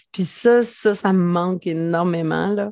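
With fairly even intonation, a woman talks in a dark, mellow tone. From Quebec, rural Lanaudière (Mandeville). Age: 40s. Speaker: entrepreneur and mother. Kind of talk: casual interview chat.

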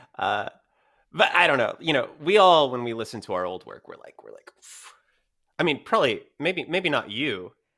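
A man with an American accent, fairly high pitch, vocal fry, very wide pitch swings, big swings in loudness and a moderate pace. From Texas. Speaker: voice actor. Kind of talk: interview. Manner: halting, many fillers.

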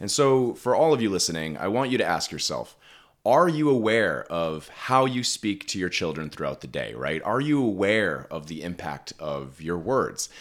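A man's fairly low voice carries vocal fry and swings very widely in pitch. The recording is very clean and the background silent. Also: moderate pace. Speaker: parenting podcast host, educational psychologist. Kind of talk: casual conversational podcast chat. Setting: home makeshift studio. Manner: animated, jokey.

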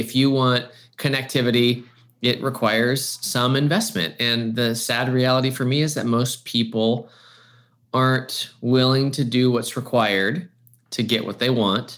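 With an ordinary speaking voice, a man of medium pitch talks at a moderate pace in a fairly even intonation. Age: 40s. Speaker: church creative pastor turned marketing agency owner. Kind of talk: casual chat.

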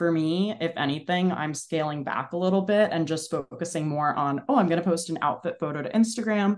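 A woman's plain, everyday voice, fairly low in pitch, with an American accent, ordinary pitch variation, a fairly quick pace and hardly any pauses. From New Jersey, Bergen County. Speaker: content creator. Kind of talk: casual interview chat.

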